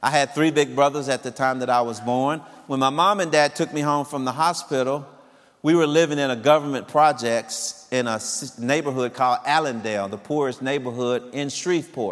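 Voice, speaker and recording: Using an ordinary speaking voice, a man with an American accent talks at a fairly quick pace, with a fairly high pitch and ordinary pitch variation. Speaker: former fire chief. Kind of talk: testimony. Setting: church.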